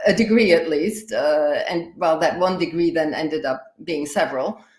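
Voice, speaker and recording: With a German accent, a woman speaks at a moderate pace and with lively intonation. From Austria. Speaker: higher education in emergencies expert. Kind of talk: live interview podcast. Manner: halting, many fillers.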